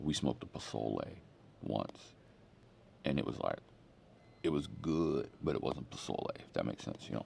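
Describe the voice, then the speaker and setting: With an American accent and vocal fry, the speaker keeps a moderate pace with ordinary pitch variation. Long pauses come often. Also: man, very deep, low pitch for a man. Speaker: pastor. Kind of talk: casual sermon. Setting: airport. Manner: casual, conversational.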